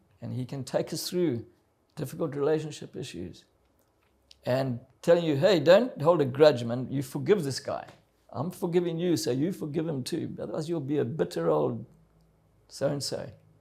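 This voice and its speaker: A man's fairly high-pitched voice with a dark, mellow tone and vocal fry, lively intonation, big swings in loudness, a moderate pace, and long, frequent pauses. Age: 70s. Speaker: adventurer and motivational speaker. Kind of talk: testimony.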